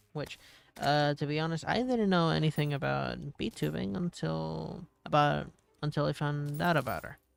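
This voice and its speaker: With music in the background, a man speaks with long, frequent pauses. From Puerto Rico. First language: Spanish. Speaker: gaming streamer. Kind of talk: casual chat. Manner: hesitant, many fillers.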